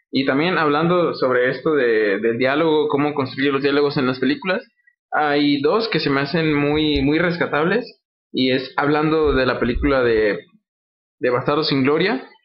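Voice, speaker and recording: With an ordinary speaking voice, a man talks at a fairly high pitch and a moderate pace, showing ordinary pitch variation and very even loudness. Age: 20s. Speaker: film podcast guest. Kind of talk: casual chat.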